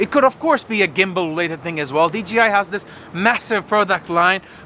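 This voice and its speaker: This man's raised, projected voice has an animated tone and ordinary pitch variation. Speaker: tech video creator. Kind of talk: casual vlog announcement.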